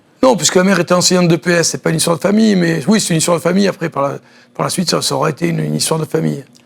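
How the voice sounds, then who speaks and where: Noticeable background noise sits behind a man with a high pitch. He talks at a very fast pace with ordinary pitch variation. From southern France, Nice. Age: 60s. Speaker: former judoka and judo coach. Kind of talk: TV interview.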